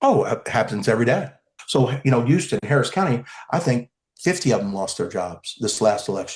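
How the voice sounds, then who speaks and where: Somewhat breathy, a man talks at a fairly quick pace in a medium pitch with very wide pitch swings. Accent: American. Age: 60s. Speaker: criminal defence lawyer. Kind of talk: podcast interview.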